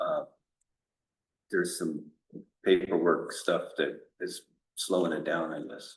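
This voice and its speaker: A man at a fairly slow pace, with big swings in loudness and long, frequent pauses. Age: 60s. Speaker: water system operator. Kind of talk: town board meeting discussion. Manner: hesitant, with fillers.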